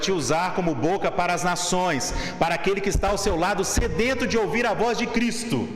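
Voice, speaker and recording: A man with a Brazilian accent and a high pitch, ordinary pitch variation, audible room echo and noticeable background noise. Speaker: seminarian preacher. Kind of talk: sermon. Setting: church pulpit.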